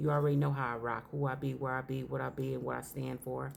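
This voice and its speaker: There is audible room echo around a woman with a very deep, low pitch. She talks at a fairly quick pace. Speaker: religious teacher. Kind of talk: sermon.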